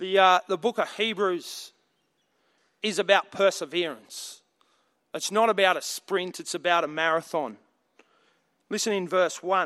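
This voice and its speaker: In an Australian accent, a man uses a raised, projected voice that is high-pitched, with a bright, sharp tone. He goes at a fairly slow pace with long, frequent pauses, and the recording is very clean over a silent background. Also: ordinary pitch variation. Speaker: preacher. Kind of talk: sermon.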